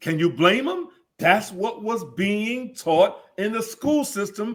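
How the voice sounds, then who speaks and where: This is a man speaking. He has an American accent. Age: 70s. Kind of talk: interview.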